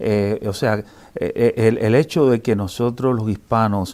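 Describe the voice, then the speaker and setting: In a very clean recording with a silent background, a man with a Cuban accent speaks at medium pitch in a dark, mellow tone with ordinary pitch variation. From Cuba, Havana. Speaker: sociology professor. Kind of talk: interview. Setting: newspaper building interview. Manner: halting, many fillers.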